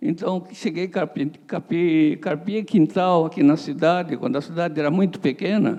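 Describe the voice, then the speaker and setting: Dark and mellow in tone, a man's high-pitched voice moves at a moderate pace. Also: ordinary pitch variation, hardly any pauses. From southern Brazil, Criciúma, Santa Catarina. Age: 80s+. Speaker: businessman, company founder. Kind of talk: interview at live event.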